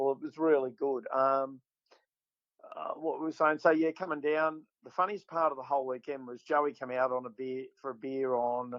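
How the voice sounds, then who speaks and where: Fairly high in pitch, a man talks at a moderate pace with fairly even intonation but big swings in loudness. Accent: Australian. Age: 60s. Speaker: bass fishing tournament winner. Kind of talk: casual chat.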